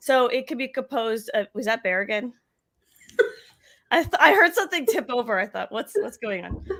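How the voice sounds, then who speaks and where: A woman speaks loud and high-pitched at a fairly quick pace, her tone bright and sharp, with very wide pitch swings. She leaves long, frequent pauses in a very clean recording with a silent background. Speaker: marketing show co-host. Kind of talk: casual live-stream chat. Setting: live video stream.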